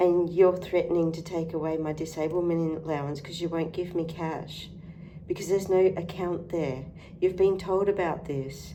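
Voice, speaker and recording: A woman with an Australian accent speaks at a moderate pace in a fairly low, monotone voice with flat intonation. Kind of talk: political rant to camera.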